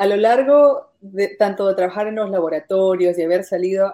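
The tone is dark and mellow. The pace is moderate. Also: woman. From Peru. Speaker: podcast host. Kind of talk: interview.

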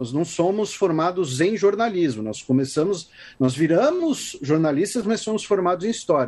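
A man with a high pitch and lively intonation speaks at a moderate pace. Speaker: podcast host, historian. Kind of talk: interview. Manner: halting.

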